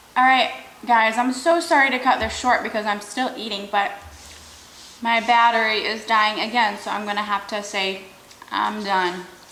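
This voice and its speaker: With noticeable background noise and audible room echo, a woman with an American accent speaks in a fairly high pitch, varying it in an ordinary way. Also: moderate pace. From Michigan, US. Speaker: YouTuber, mukbang host. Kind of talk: casual story time while eating.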